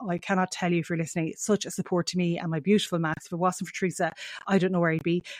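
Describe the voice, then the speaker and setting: Talking at a very fast pace in a strong western Irish accent, a woman keeps a fairly low pitch and fairly even intonation. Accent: heavy Mayo Irish. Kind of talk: podcast interview intro. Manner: rambling, uses fillers often.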